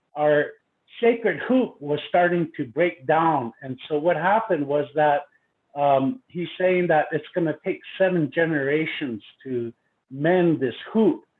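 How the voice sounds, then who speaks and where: This man has a Lakota accent, a fairly high pitch and lively intonation. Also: fairly slow pace. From Pine Ridge, South Dakota (Lakota). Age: 50s. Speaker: university educator, conference presenter. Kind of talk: conference presentation. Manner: halting with many fillers.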